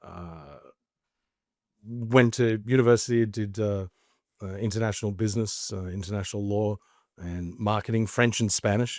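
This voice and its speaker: On a very clean recording with a silent background, a man with an Australian accent speaks with big swings in loudness and long, frequent pauses. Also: fairly low pitch for a man, fairly even intonation, moderate pace. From Australia, Queensland (Mackay). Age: 40s. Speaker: entrepreneur, former actor. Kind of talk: podcast interview.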